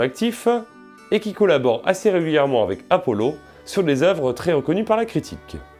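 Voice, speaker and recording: A man speaks at a moderate pace, his pitch swinging very widely. Music plays in the background. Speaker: comic book reviewer. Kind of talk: review narration.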